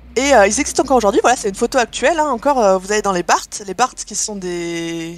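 A woman talks at a very fast pace with hardly any pauses. Her intonation is lively. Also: fairly high pitch for a woman. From Landes, southwest France. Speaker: history presenter. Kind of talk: informal lecture.

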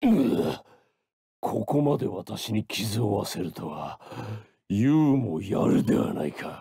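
A man puts on a character voice with a fairly low pitch. He talks at a fairly slow pace. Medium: dub. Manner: growling, roaring, bombastic.

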